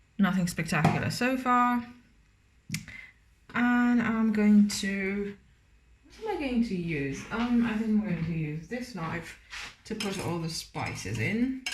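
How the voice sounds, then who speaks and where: Speech comes at a fairly slow pace with ordinary pitch variation and long, frequent pauses, with audible room echo. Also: woman, medium pitch for a woman. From Romania. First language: Romanian. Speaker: cooking vlogger. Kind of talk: cooking tutorial with casual chat. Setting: home kitchen. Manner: casual, hesitant with many fillers.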